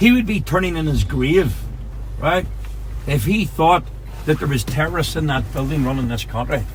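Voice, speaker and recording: A man speaks at a moderate pace in a Northern Irish accent. Noticeable background noise and audible room echo surround him. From Northern Ireland. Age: 40s. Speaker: taxi tour guide. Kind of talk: guided tour talk.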